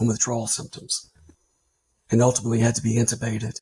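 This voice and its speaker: The voice belongs to a man and carries vocal fry. Its tone comes across dark and mellow. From Louisiana. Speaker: army veteran. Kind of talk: testimony.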